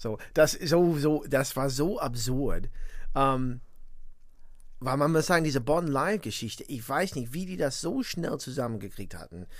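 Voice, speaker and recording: A man talks fairly slowly. His voice is fairly high. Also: lively intonation. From US Midwest (northwest Indiana, near Chicago). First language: English (speaking German). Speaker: musician and composer. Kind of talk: interview. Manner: halting, many fillers.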